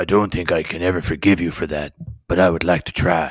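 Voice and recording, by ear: Someone puts on a raspy character voice, speaking at a very fast pace in a monotone, flat intonation. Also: man, very deep, low pitch for a man.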